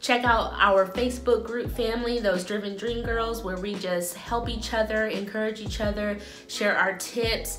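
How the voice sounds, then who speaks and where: A woman keeps a moderate pace and fairly even intonation while noticeable noise sounds behind her. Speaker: salon owner vlogger. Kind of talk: casual vlog chat. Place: home room. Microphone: phone near.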